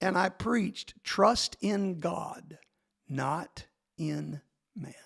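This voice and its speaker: In a dry, close sound with no echo, a man with an American accent speaks very slowly at a high pitch with ordinary pitch variation. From Texas. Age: 60s. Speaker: pastor. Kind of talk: testimony.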